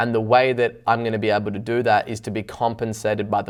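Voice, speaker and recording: With an Australian accent, a man with a fairly low voice talks at a very fast pace and with fairly even intonation. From Australia, Byron Bay. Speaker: business owner. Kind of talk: interview.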